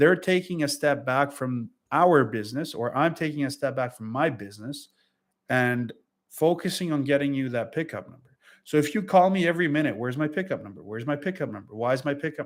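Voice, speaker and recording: A man with a non-native accent and fairly high pitch, ordinary pitch variation, big swings in loudness, and a very clean recording over a silent background. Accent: foreign. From Europe. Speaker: freight broker. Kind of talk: casual vlog advice monologue. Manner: hesitant, many fillers.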